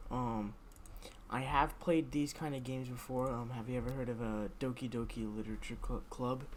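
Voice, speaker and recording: The voice is quiet and moves at a moderate pace. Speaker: gaming streamer. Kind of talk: game stream commentary.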